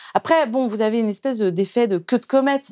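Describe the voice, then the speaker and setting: A woman with a dark, mellow tone is heard in a very clean recording with a silent background and a dry, close sound with no echo. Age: 50s. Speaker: journalist and author. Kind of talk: interview. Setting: studio. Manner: halting.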